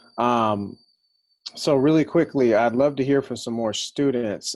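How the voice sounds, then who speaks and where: A man with an American accent speaks at a moderate pace in an ordinary speaking voice, his intonation fairly even. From Los Angeles. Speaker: university center director. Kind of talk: moderating a panel.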